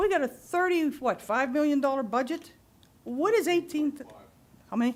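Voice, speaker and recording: Her high-pitched voice moves with lively intonation. The woman keeps a moderate pace. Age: 60s. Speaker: resident giving public comment. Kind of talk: public comment at township meeting. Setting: township board meeting. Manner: animated.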